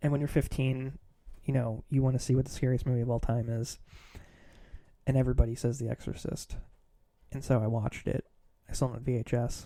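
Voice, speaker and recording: A man speaks at a very fast pace with long, frequent pauses, in a monotone, flat intonation. His medium-pitched voice has a dark, mellow tone. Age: 30s. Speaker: horror writer and podcaster. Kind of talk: casual monologue podcast. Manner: mumbling; halting, many fillers.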